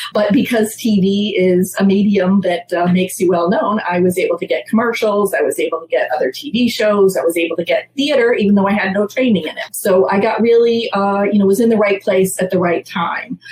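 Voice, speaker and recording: A woman with an American accent talks at a fairly quick pace with hardly any pauses, over noticeable background noise. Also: medium pitch for a woman, ordinary pitch variation. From Massachusetts, US. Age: 60s. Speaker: theater producer. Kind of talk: interview.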